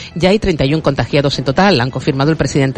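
A fairly quick delivery with noticeable background noise behind it. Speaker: news reader. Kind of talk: news reading. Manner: formal.

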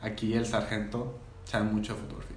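A man speaks at a fairly quick pace, with audible room echo and noticeable background noise around him. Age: 20s. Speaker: podcast host. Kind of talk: casual chat.

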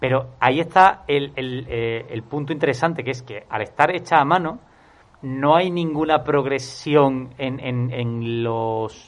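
A man talks at a fairly slow pace in a plain, everyday voice of medium pitch with ordinary pitch variation. His loudness swings widely. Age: 30s. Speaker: film podcast panelist. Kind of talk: casual chat.

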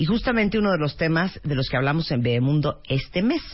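A somewhat breathy woman speaks at a very fast pace. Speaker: radio host. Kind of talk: casual chat.

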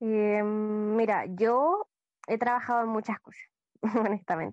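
A woman with a fairly high pitch speaks at a fairly slow pace, the sound dry and close with no echo over a quiet background. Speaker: podcast co-host. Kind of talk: casual podcast chat.

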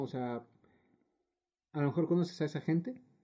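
Over a quiet background, a man with a Mexican accent speaks at a high pitch, his intonation lively and his tone dark and mellow. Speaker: podcast co-host. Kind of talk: casual chat.

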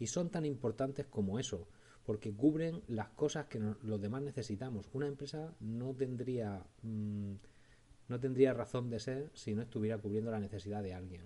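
With a dark, mellow tone, a man talks at a medium pitch and a moderate pace, his pitch varying in an ordinary way. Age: 40s. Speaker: podcast host. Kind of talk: solo podcast monologue.

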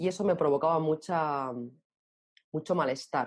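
A woman's very deep, low voice, fairly slow, with ordinary pitch variation and a dark, mellow tone. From Spain, Barcelona. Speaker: author. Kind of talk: interview.

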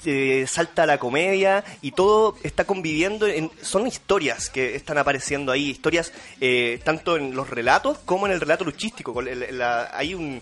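A man's fairly high voice at a moderate pace, lively in intonation with hardly any pauses, over noticeable background noise. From Chile. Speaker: podcast host, writer and comedian. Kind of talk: casual chat.

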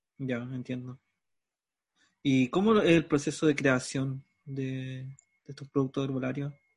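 A man with a Chilean accent speaks at a fairly slow pace in a somewhat breathy voice. His loudness swings widely. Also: medium pitch for a man, fairly even intonation. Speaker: radio host. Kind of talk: interview. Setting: video call.

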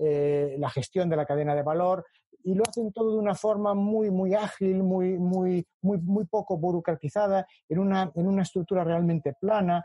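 At a moderate pace, a man talks in a high pitch. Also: ordinary pitch variation, very even loudness. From Spain, Galicia (A Coruña). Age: 50s. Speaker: economics professor. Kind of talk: interview conversation.

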